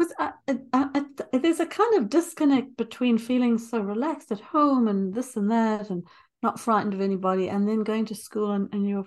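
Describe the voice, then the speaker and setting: The speaker has a non-native accent. The intonation is lively. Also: woman. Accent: foreign. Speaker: early childhood educator and interviewer. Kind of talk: casual interview. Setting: remote call.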